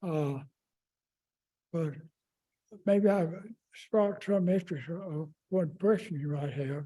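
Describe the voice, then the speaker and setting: A man's high-pitched voice in a Southern US accent, dark and mellow in tone, with ordinary pitch variation, a very slow pace and long, frequent pauses. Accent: Southern American. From Raleigh, North Carolina. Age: 80s+. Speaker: longtime neighborhood resident. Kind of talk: oral history interview answer.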